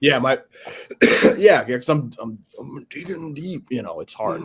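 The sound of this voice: A man's put-on character voice, hoarse and raspy, fairly high in pitch, at a moderate pace with big swings in loudness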